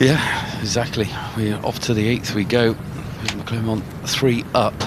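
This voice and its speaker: Over noticeable background noise and audible room echo, a man with a Bristolian accent speaks very slowly at a medium pitch, his intonation monotone and flat. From England, Bristol. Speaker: golf commentator. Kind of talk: live commentary.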